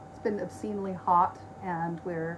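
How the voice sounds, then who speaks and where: Against noticeable background noise, a woman with a fairly low pitch speaks at a fairly slow pace with fairly even intonation. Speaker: animal shelter worker. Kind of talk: live stream update. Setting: Facebook live video at the shelter. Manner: casual, many fillers.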